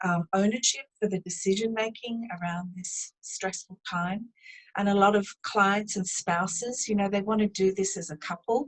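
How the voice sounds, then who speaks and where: In a New Zealand accent, a woman speaks at a moderate pace with a medium pitch and fairly even intonation. Her voice is somewhat breathy, in a dry, close sound with no echo. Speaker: business owner, driving assessment specialist. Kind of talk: interview.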